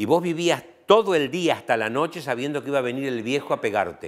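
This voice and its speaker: A man with an Argentine accent on a very clean recording with a silent background. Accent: Argentine Spanish (voseo). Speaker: professor. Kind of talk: interview.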